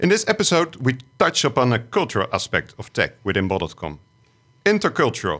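On a very clean recording with a silent background, a man speaks at a fairly quick pace with vocal fry and very wide pitch swings. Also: medium pitch for a man. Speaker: podcast co-host. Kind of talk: podcast panel discussion. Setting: studio.

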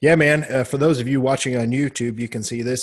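A man speaks fairly quickly in a somewhat breathy voice with fairly even intonation. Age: middle-aged. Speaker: bodybuilding podcast host. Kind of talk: casual chat.

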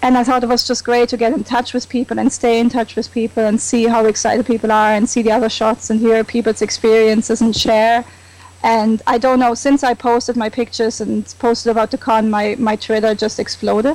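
A woman with a German accent speaks at a fairly quick pace with hardly any pauses, in a fairly high voice with monotone, flat intonation and very even loudness. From Germany. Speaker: comic con fan. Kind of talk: casual chat.

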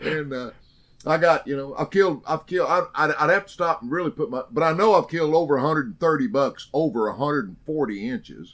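Recorded very cleanly against a silent background, a man with a fairly high pitch speaks at a moderate pace with lively intonation. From Oklahoma. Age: 60s. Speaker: hunting TV personality. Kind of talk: interview storytelling.

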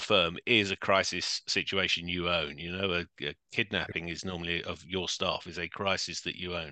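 A man with a London accent speaks in a bright, sharp tone. The background is quiet. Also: dry, close sound with no echo. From London, England. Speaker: crisis management consultant, former police officer. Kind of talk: interview.

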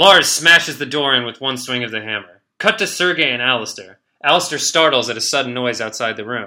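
The clip is reading aloud in a natural voice, with ordinary pitch variation. The background is quiet.

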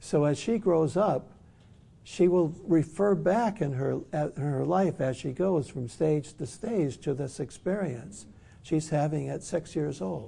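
In an American accent, a man with a fairly high pitch and a dark, mellow tone sounds somewhat breathy, his intonation lively. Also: fairly slow pace. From US Midwest, Detroit. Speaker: author and psychotherapist. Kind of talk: workshop lecture. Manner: halting.

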